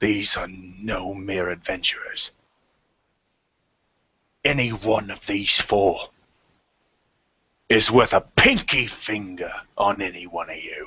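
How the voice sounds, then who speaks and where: Bellowing in a raspy, put-on character voice, a man speaks at a fairly low pitch and a fairly slow pace with fairly even intonation, big swings in loudness, and long, frequent pauses. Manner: commanding, authoritative, gruff.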